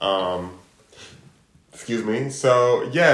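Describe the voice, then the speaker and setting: Lively intonation from a man, with audible room echo. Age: 40s. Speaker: podcast co-host. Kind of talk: casual chat.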